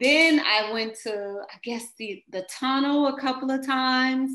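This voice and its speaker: At a very slow pace, a woman with an American accent speaks at a high pitch with a bright, sharp tone and ordinary pitch variation, in a quiet background with audible room echo. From US Midwest, St. Louis, Missouri; Missouri. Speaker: dancer; interviewee. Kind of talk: interview. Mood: warm, reflective. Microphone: webcam.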